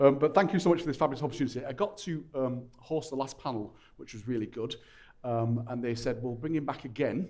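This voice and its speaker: A man with a strong Lancashire accent at a very fast pace, medium in pitch, with ordinary pitch variation and big swings in loudness. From Lancashire, northern England. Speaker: panel moderator. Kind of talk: panel discussion hosting. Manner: informal, jokey.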